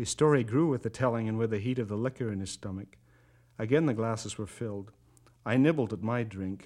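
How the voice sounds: In a natural reading voice, the pitch rises and falls in an ordinary way.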